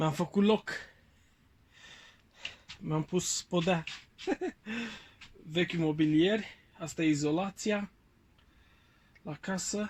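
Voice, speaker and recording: A man speaks at a very slow pace with high pitch and fairly even intonation. Long, frequent pauses break up his speech. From Bucharest, Romania. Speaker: vlogger. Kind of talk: casual vlog talk to camera.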